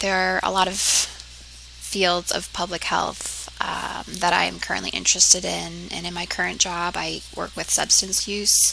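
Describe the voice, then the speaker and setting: A woman talks with an American accent, barely pausing at all. Noticeable background noise runs beneath her voice. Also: fairly slow pace. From US Northeast, southeastern Connecticut. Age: 20s. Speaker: public health student. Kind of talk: class self-introduction video.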